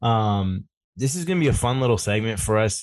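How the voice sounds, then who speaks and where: A man speaks at a fairly quick pace with a fairly low pitch and a plain, everyday voice, against a quiet background. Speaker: fantasy football podcast host. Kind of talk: casual banter.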